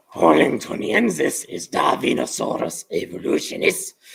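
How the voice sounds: In a put-on character voice with a German accent, a man sounds raspy at a moderate pace.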